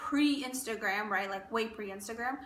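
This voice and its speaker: Over noticeable background noise and audible room echo, a woman speaks at a fairly quick pace with a high pitch. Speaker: beauty and fashion vlogger. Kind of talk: casual chat. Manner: fast; animated.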